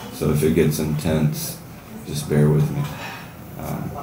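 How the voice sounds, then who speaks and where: A man with an American accent speaks at a fairly slow pace in a very deep, low voice and a flat monotone, over noticeable background noise. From Southern US. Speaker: writer. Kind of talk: casual introduction at open mic. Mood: slightly nervous, warm. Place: stage.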